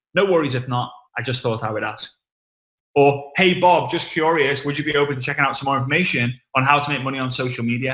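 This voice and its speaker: In a Liverpool accent, the speaker talks at a very fast pace with a bright, sharp, animated tone and ordinary pitch variation. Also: man. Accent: Liverpool (Scouse) English. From England, Liverpool. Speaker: network marketing trainer. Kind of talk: online training talk.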